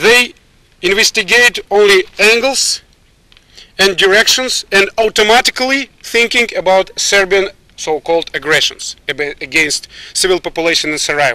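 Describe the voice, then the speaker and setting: In a Russian accent, a man with a high pitch and bright, sharp tone projects a raised voice with lively intonation, the sound dry and close with no echo. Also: moderate pace. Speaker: military officer. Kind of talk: press statement. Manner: halting.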